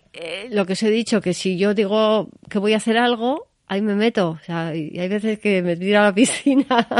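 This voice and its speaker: In an unremarkable speaking voice, a woman talks at a medium pitch with ordinary pitch variation over a quiet background. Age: 60s. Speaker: gallery owner. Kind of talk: interview. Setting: in the guest's gallery.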